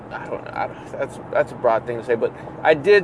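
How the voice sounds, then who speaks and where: Amid noticeable background noise, a man with an American accent talks at a fairly quick pace. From California. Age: 20s. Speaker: podcast host. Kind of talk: casual solo rambling podcast. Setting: in a car on commute. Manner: rambling, casual, crude humor.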